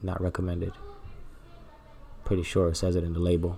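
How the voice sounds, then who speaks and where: With music in the background, a man speaks very fast at a very deep, low pitch in a monotone, flat intonation. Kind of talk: comedic makeup tutorial voiceover. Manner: joking, playful.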